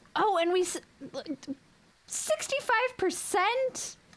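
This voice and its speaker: A woman speaks very slowly in an extremely high, squeaky voice. Her pitch swings very widely. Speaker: streamer. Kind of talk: casual chat. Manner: animated.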